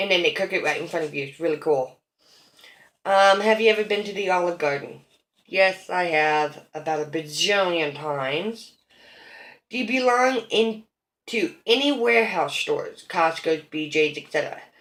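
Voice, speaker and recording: With an American accent, a woman talks at a moderate pace in a plain, everyday voice, her medium pitch carried by lively intonation. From Idaho, US. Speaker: vlogger. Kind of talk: casual chat.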